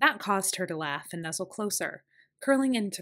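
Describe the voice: The speaker does plain reading aloud with lively intonation. The background is quiet.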